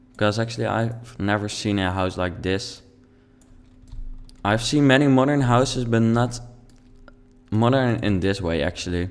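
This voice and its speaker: A man speaks with a Dutch accent, leaving long, frequent pauses. Audible room echo surrounds his voice. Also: medium pitch for a man, ordinary pitch variation, moderate pace. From Netherlands. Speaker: video game YouTuber. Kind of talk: let's play commentary. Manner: halting.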